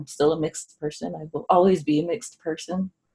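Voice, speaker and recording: A woman speaks with an American accent. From Southern California. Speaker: autoimmune wellness coach and researcher. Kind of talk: casual interview.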